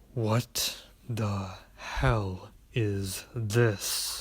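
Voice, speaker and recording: In a put-on character voice, a man speaks at a fairly low pitch. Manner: cold, demanding.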